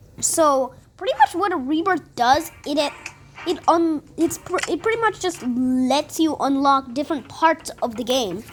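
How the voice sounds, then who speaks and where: Over noticeable background noise, a woman with a high pitch speaks fairly slowly with lively intonation. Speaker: gaming youtuber. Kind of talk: gameplay commentary. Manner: halting, many false starts.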